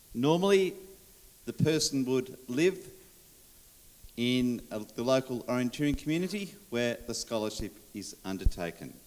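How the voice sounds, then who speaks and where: Speaking with an Australian accent, a man uses a medium pitch and lively intonation. His pace is moderate, with long, frequent pauses. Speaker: sports official. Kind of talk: conference presentation.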